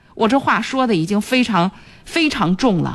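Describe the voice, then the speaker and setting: A woman's fairly high voice with vocal fry. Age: 40s. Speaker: radio host. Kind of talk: radio call-in advice show.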